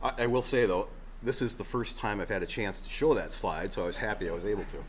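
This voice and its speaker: A man talks very fast, with audible echo from the room around him. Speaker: state agriculture official. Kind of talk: conference presentation with Q&A.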